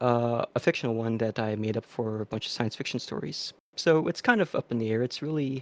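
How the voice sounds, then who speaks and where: On a very clean recording with a silent background, a man with an American accent talks at a fairly quick pace and medium pitch with ordinary pitch variation, the sound dry and close with no echo. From United States, Filipino heritage. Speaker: streamer. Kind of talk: panel discussion. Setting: livestream. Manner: halting.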